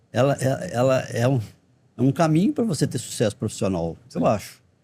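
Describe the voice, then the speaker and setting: In a dark, mellow, somewhat breathy tone, a man speaks with very wide pitch swings. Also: medium pitch for a man, moderate pace. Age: 60s. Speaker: dentistry professor. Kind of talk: podcast interview.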